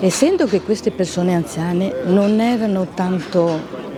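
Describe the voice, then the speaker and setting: Her pitch is medium, with ordinary variation, and she speaks at a fairly slow pace. Crowd noise and audible room echo fill the space around the woman. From Venice. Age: 80s+. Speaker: Holocaust eyewitness. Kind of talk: testimony.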